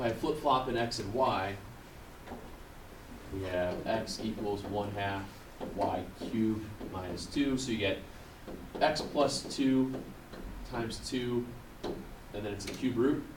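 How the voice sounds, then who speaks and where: With noticeable background noise and audible room echo, a man talks at a medium pitch with ordinary pitch variation and long, frequent pauses. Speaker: math teacher. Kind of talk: classroom lecture. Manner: fast.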